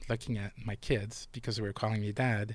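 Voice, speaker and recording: A man speaks at a moderate pace in a fairly low pitch with a flat, monotone delivery, on a very clean recording with a silent background. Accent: Quebec. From Montreal, Quebec (Pointe-Saint-Charles). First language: French. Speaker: former police officer. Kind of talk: casual chat.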